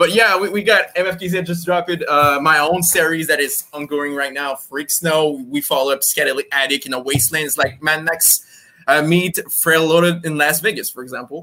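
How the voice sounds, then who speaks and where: A man with a French accent speaks in a bright, sharp tone at a fairly high pitch, with ordinary pitch variation, a moderate pace and hardly any pauses. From France. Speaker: comics publisher and editor. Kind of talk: interview.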